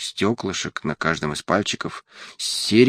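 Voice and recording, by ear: The intonation here is lively. The voice reads aloud naturally.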